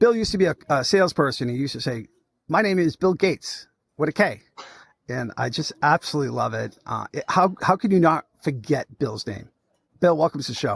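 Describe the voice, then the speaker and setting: A man with a Boston accent speaks fairly quickly at a fairly high pitch, using vocal fry and very wide pitch swings. The recording is very clean with a silent background and a dry, close sound with no echo. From Massachusetts (Lawrence). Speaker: podcast host. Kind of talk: casual interview chat. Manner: animated.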